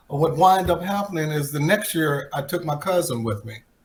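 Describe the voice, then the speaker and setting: Music in the background behind a man with a fairly high pitch and ordinary pitch variation. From Texas, Plano. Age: 60s. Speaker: retired football player. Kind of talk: interview.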